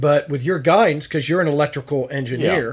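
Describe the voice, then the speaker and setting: With a fairly quick pace and a somewhat breathy voice, a man talks at a fairly high pitch with ordinary pitch variation. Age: 60s. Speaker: model railroad layout builder and channel host. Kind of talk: casual interview chat. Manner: halting, many repeated words.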